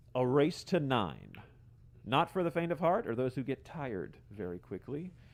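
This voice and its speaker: A man speaking at a moderate pace shows very wide pitch swings and vocal fry. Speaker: pool commentator. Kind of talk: live commentary. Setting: billiards studio livestream booth.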